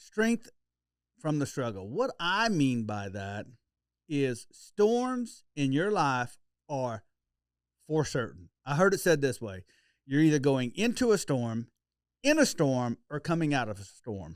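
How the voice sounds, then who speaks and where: Fairly slow speech from a man with an Oklahoma accent, fairly high pitch, very wide pitch swings and long, frequent pauses, in a very clean recording with a silent background. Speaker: podcast host. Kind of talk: casual podcast chat. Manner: informal, with hesitations.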